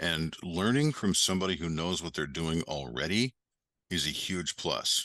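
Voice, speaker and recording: Speaking with vocal fry and lively intonation, a man with a very deep, low pitch has a bright, sharp tone, recorded dry and close with no echo against a quiet background. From Western New York. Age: 60s. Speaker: ecommerce educator and entrepreneur. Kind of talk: podcast interview.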